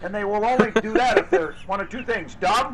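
With noticeable background noise around him, a man speaks in a high pitch with ordinary pitch variation. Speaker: mayor speaking at a press conference. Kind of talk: press conference remarks. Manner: starts calm then becomes heated, ranting.

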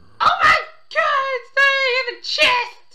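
Shouting, squeaky put-on character voice at an extremely high pitch. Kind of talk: gaming commentary. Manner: yelling, shouting. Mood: exasperated exclamation.

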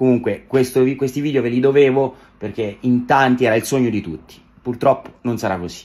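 The pace is fairly quick. A man talks with fairly even intonation. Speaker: social media creator. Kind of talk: casual vlog chat. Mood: slightly disappointed but warm. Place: home room. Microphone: phone near.

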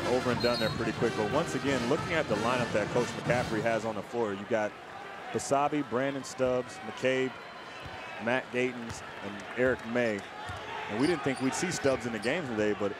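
A man's medium-pitched voice at a moderate pace, dry with no echo, amid noticeable background noise. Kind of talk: live sports commentary, analysis. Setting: arena broadcast, TV. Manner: conversational, enthusiastic, explanatory. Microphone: headset.

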